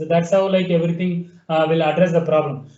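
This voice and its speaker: A man talks at a fairly quick pace, with audible room echo around his voice. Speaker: webinar presenter demonstrating software. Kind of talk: software tutorial demo. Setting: online webinar.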